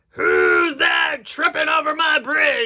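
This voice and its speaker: This put-on character voice is raspy and high-pitched, delivered at a very slow pace. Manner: roaring, gruff.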